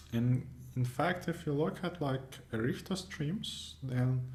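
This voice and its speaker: A man of medium pitch with a non-native accent, somewhat breathy, at a fairly slow pace with lively intonation, in audible room echo. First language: not English. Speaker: competitive programming YouTuber. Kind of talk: screencast tutorial wrap-up. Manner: casual, hesitant with many fillers.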